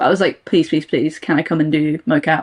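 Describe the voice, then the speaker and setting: A woman speaks with a British accent. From England. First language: Russian. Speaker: voice actor. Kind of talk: casual chat.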